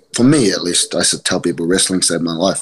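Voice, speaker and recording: In a New Zealand accent, a man speaks fairly quickly with a very deep, low pitch. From New Zealand, East Auckland. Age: 20s. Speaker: professional wrestler. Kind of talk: casual chat.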